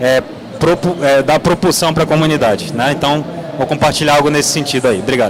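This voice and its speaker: The speaker moves at a fairly quick pace with ordinary pitch variation and very even loudness, against noticeable background noise. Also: man, fairly high pitch for a man. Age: 30s. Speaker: game producer. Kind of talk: panel discussion. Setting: stage with audience.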